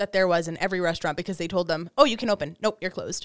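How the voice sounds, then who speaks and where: Ordinary pitch variation comes through as a woman talks at a medium pitch. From Serbia. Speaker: engineer. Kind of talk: casual chat.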